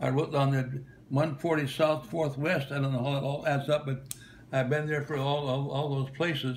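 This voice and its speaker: There is audible room echo around a man's fairly high, somewhat breathy voice. He keeps fairly even intonation at a moderate pace. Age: 90s. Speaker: retired travelling minister. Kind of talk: recorded video greeting. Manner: halting, many fillers and repetitions.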